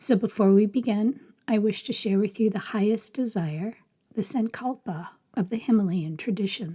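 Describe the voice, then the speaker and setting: Fairly high in pitch yet dark and mellow in tone, a woman speaks somewhat breathily at a moderate pace. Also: ordinary pitch variation. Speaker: yoga teacher. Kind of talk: spoken blessing.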